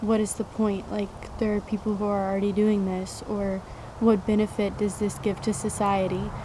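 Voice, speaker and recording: The voice moves at a moderate pace. Its intonation is monotone and flat. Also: woman. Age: 20s. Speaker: vlogger. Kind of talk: personal vlog monologue.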